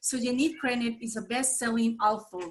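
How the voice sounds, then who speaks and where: A woman with a Colombian accent talks at a fairly quick pace in a fairly high pitch. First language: Spanish. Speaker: nonprofit association president. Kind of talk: meeting host introduction. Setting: video call. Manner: hesitant, many fillers.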